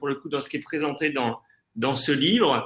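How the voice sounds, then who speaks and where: A man's fairly high voice, bright and sharp in tone, at a moderate pace. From France, Jura. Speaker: tech conference presenter. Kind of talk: webinar discussion. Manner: halting, many fillers and repetitions.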